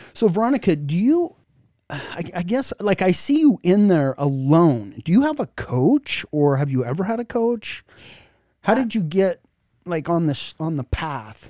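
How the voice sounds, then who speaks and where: A man's high-pitched, dark, mellow voice with very wide pitch swings at a fairly slow pace, dry and close with no echo, on a very clean recording with a silent background. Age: 50s. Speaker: podcast host. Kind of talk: casual chat. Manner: halting, many repeated words.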